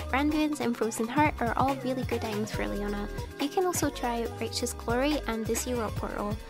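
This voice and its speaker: A woman talking at a fairly quick pace with hardly any pauses, music in the background. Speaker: video game guide creator. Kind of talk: game tutorial narration.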